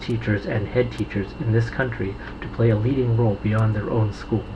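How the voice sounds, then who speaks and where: Against music in the background, a man with an American accent speaks at a fairly quick pace with fairly even intonation. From United States. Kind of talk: reading a government press release aloud.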